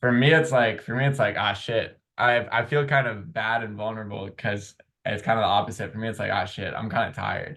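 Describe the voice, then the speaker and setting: Speaking at a fairly quick pace with hardly any pauses, a man uses a medium pitch and ordinary pitch variation. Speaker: podcast host. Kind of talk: casual chat.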